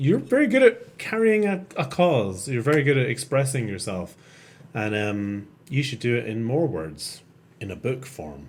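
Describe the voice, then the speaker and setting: With a Scottish accent, a man at medium pitch lets his voice make very wide pitch swings. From Scotland, Edinburgh. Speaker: podcast host. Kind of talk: casual chat. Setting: live stream.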